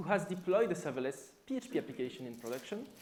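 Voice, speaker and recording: With a French accent, a man talks fairly quickly in a high voice that swings very widely in pitch, and the room echo is audible. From France. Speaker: software developer and conference speaker. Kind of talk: conference talk. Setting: stage with audience.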